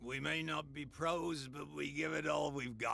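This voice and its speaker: A man does a raspy, put-on character voice at a fairly high pitch with fairly even intonation. He talks at a moderate pace over light background noise. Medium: video game.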